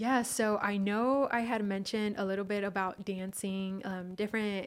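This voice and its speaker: A woman with an American accent speaks at medium pitch and a moderate pace in a monotone, flat intonation. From California Bay Area and Mexico (Michoacan). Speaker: human resources professional. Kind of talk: casual interview.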